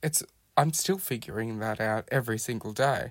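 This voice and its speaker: On a very clean recording with a silent background, a man with an Australian accent speaks fairly slowly at a medium pitch. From Australia, Melbourne (Hampton). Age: 20s. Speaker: podcast guest sharing life story. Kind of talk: personal testimony.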